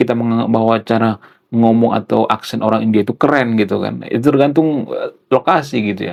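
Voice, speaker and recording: The voice belongs to a man with medium pitch. He talks at a fairly quick pace. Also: ordinary pitch variation. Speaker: YouTuber commentator. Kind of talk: casual vlog monologue.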